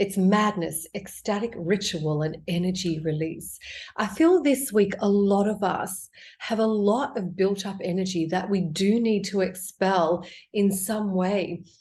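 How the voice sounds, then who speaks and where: A woman speaks fairly slowly at medium pitch with ordinary pitch variation. Her voice is somewhat breathy, with a dark, mellow tone. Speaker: tarot card reader. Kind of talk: tarot reading. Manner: quiet; casual.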